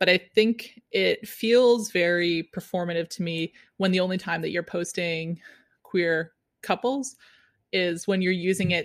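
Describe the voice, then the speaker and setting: A normal speaking voice with ordinary pitch variation comes through a very clean recording with a silent background and a dry, close sound with no echo. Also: woman. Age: 30s. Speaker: wedding photographer. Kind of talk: casual interview.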